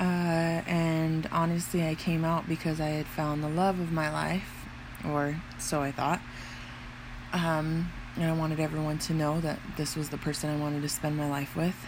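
Speaking in a very deep, low voice, a woman keeps a monotone, flat intonation at very even loudness. The room echo is audible. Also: moderate pace. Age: 20s. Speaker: podcaster. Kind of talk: personal monologue. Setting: at home in her room. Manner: hesitant with many fillers.

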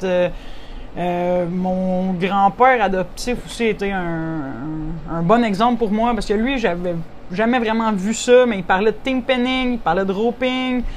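A woman speaks very slowly at a medium pitch with ordinary pitch variation, with audible room echo around her. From Quebec, Saint-Hyacinthe region. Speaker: rancher and horse competitor. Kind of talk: interview.

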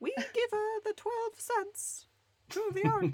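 A put-on character voice, extremely high and squeaky, in a Swedish accent, at a fairly slow pace

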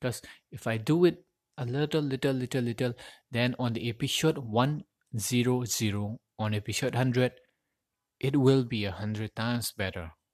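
In a very clean recording with a silent background and a dry, close sound free of echo, a man with a Manipuri accent speaks at a moderate pace and medium pitch, with ordinary pitch variation and long, frequent pauses. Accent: Indian English, Manipuri-accented. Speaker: podcaster and aspiring voiceover artist. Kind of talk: solo podcast monologue. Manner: halting, non-fluent with frequent self-corrections.

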